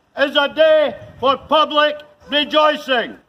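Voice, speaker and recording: A man's raised, projected voice comes out extremely high-pitched with a bright, sharp tone and monotone, flat intonation. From Chadderton, England. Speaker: town crier. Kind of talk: town crier proclamation. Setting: outdoors, shopping precinct. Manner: loud, formal, projected. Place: street. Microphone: camera far.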